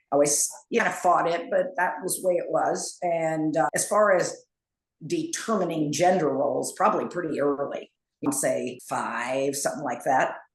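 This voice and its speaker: There is audible room echo. A woman speaks at a moderate pace. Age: 70s. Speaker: interview guest. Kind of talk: casual interview.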